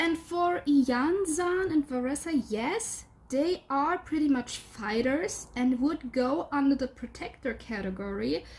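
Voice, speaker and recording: A woman speaks at a fairly slow pace with hardly any pauses, her high voice full of lively intonation over noticeable background noise. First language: not English. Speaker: gaming video creator. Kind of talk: casual commentary. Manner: hesitant.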